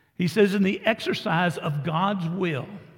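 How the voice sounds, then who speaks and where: Very slow speech in a Texan accent with ordinary pitch variation. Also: man. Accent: Texan (US Southern). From Texas. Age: 70s. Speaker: pastor. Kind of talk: sermon. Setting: church.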